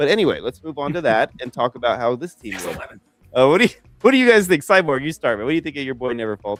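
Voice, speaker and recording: Over music in the background, a man with an American accent talks very fast in a fairly high pitch, his loudness and pitch both swinging widely. The sound is dry and close, with no echo. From Las Vegas, US. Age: 40s. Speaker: fantasy football show host. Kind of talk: live draft show chat.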